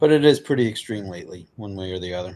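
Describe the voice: A man's fairly low voice with a slightly mellow tone and lively intonation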